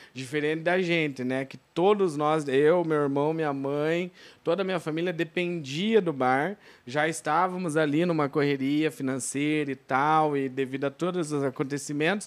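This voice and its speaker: A man with a plain, everyday voice, fairly high in pitch, fairly even intonation, a moderate pace, and a very clean recording over a silent background. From Brazil, Telêmaco Borba, Paraná. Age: 20s. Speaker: bar and shop owner. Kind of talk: casual interview chat. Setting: studio, live podcast on camera.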